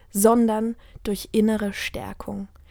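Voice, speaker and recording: A woman's fairly high-pitched voice in a very clean recording with a silent background. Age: 20s. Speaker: weight-loss motivational podcaster. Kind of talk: personal monologue.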